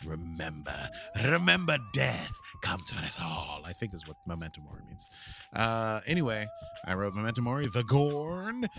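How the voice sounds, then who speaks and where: Over noticeable background noise, a man with an American accent and medium pitch speaks at a moderate pace in a playful tone, with very wide pitch swings. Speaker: podcast host. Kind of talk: casual podcast chat, episode recap. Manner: jokey, playful, rambling.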